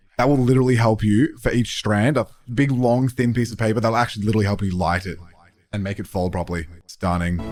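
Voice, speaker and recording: A man with an Australian accent speaks very fast in an animated tone, his pitch fairly low with ordinary variation. Music plays in the background. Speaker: artist reacting to game art. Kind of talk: casual reaction commentary.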